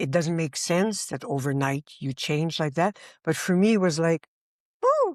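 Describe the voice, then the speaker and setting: An ordinary speaking voice from a woman, fairly low in pitch with ordinary pitch variation, at a fairly slow pace on a very clean recording with a silent background. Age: 60s. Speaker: meditation teacher. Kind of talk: spiritual conversation.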